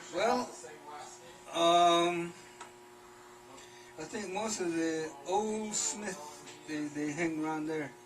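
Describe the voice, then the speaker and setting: With an American accent, the voice moves at a very slow pace with long, frequent pauses, over music in the background and audible room echo. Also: man, high pitch for a man, ordinary pitch variation. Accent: Navajo English. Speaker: silversmith. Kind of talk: casual chat. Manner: halting.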